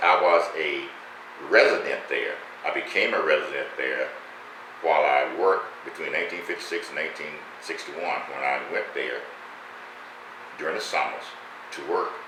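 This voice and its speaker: Pausing long and often, a man with an American accent talks at a moderate pace amid audible room echo and noticeable background noise. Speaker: retired educator and former local politician. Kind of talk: interview.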